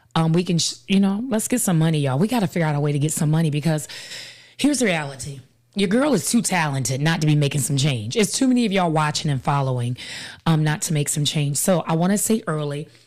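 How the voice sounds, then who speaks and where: A woman talks very fast with lively intonation and a very deep, low pitch. Her loudness stays very even on a very clean recording with a silent background. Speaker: podcast host and life coach. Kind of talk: live-streamed casual talk show. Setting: live stream with a studio helper.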